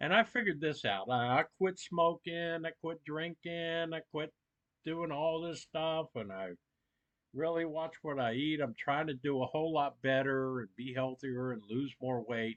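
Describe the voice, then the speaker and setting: A man talks at a fairly slow pace in a fairly high voice. His pitch varies in an ordinary way. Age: 60s. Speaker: prepping channel host. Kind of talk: live stream chat. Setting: live stream with phone as webcam.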